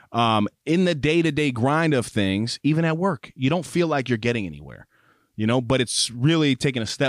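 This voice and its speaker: Pitch swings very widely as a man talks at a moderate pace. The recording is very clean and silent behind him, dry and close with no echo. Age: 30s. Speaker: podcast co-host. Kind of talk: casual chat. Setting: studio.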